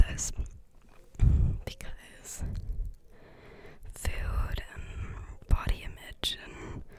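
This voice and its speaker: Whispered words from a woman over clearly audible background noise. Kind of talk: ASMR chat, advice talk to camera.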